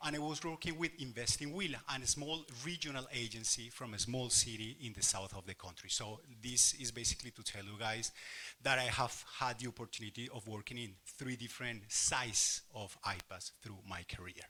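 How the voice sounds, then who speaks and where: With a strong Spanish accent, a man speaks at a fairly quick pace and medium pitch, using a bright, sharp tone, ordinary pitch variation and big swings in loudness. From Colombia. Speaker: workshop facilitator, investment consultant. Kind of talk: workshop presentation. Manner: passionate, animated.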